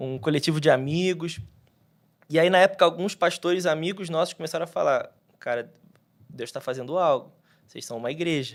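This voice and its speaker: The recording is very clean, with a silent background. A man with a high pitch talks at a fairly quick pace but leaves long, frequent pauses. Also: ordinary pitch variation. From Rio de Janeiro, Brazil, with Minas Gerais family. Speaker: pastor. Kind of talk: podcast interview. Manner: casual, halting with fillers.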